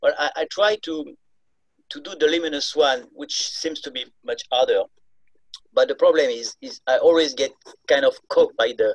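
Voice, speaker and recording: A man's voice at a moderate pace, with long, frequent pauses, in dry, close sound with no echo. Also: big swings in loudness. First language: not English. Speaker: meditation student. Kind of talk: Q&A question. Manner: halting.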